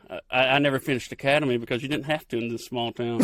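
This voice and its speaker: A man with an Appalachian accent talks at a medium pitch with ordinary pitch variation. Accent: Appalachian rural Southern. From Kentucky. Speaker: TV field producer. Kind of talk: podcast interview answer. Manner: casual, folksy.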